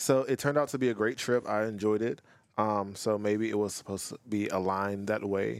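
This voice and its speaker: At a fairly quick pace, a man with an ordinary speaking voice talks in a fairly low pitch and fairly even intonation, on a very clean recording with a silent background. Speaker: university staff member, guest. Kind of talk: casual interview.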